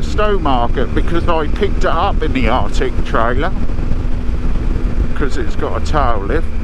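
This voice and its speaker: Loud background noise fills the recording. Over it, a man talks at a fairly slow pace. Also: dry sound with no echo. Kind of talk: casual vlog chat. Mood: cheerful, enjoying the ride. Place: motorbike. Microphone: helmet.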